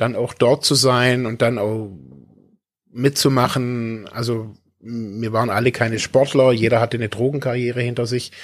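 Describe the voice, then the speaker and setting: A man's medium-pitched voice in a flat monotone. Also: moderate pace. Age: 40s. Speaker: podcast co-host, recovering addict. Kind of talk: casual chat. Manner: halting.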